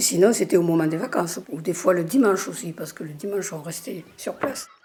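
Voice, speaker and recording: With big swings in loudness and lively intonation, a woman speaks at a fairly quick pace in a fairly low pitch over noticeable background noise. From southern France (Hérault). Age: 80s+. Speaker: local resident sharing childhood memories. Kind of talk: oral history testimony. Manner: hesitant, with fillers.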